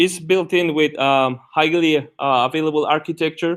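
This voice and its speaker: A man with a Guatemalan accent, fairly high-pitched, with ordinary pitch variation and a fairly slow pace. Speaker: tech conference speaker. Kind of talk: technical talk. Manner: halting, many fillers.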